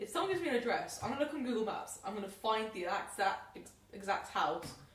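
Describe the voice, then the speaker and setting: A woman with a fairly high pitch and an animated tone, over noticeable background noise with audible room echo. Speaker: podcast host. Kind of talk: casual chat. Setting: home podcast setup with microphones. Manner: loud.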